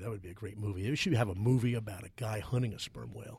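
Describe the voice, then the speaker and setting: This man talks at a very fast pace with a fairly low pitch, ordinary pitch variation and a somewhat breathy quality. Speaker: podcast host. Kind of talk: casual chat. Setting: studio.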